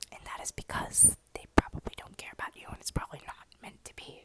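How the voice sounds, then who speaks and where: A woman is whispering. She keeps a moderate pace. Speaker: ASMR content creator. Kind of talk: ASMR whisper ramble to camera. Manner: whispered, soft, casual.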